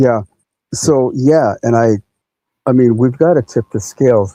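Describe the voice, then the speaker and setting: A man with a medium-pitched voice and a dark, mellow tone speaks at a fairly slow pace. His pitch varies in an ordinary way, and the sound is dry and close with no echo. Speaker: podcast host. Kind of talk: interview. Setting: live podcast.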